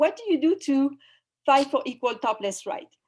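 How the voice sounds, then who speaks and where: A woman speaks in a French accent at a high pitch. Her pace is moderate. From France. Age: 50s. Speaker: activist and spiritual guide. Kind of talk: online summit talk. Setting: video call. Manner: halting.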